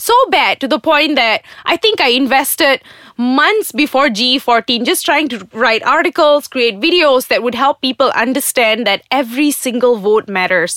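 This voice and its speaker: With a Malaysian accent, a woman talks at a moderate pace in a high, bright, sharp voice, her tone animated and her intonation lively, the sound dry and close with no echo. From Malaysia, Johor. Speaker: podcast host, writer and video producer. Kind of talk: opinion monologue.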